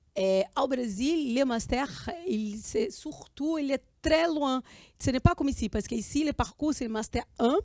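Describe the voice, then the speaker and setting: A woman speaks with a Portuguese accent in a high voice and lively intonation. Her fairly slow delivery sounds dry and close, with no echo. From Brazil. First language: Portuguese (speaking French). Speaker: student and filmmaker. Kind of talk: interview. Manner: halting.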